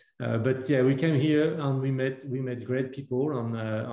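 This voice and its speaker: A man's dark, mellow voice with a French accent, fairly even in intonation, at a moderate pace. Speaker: entrepreneur. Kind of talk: panel interview. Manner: halting, many fillers.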